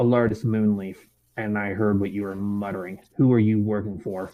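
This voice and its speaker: Put-on character voice from a man, pitched fairly low, moderate in pace. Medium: actual play. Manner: firm, threatening.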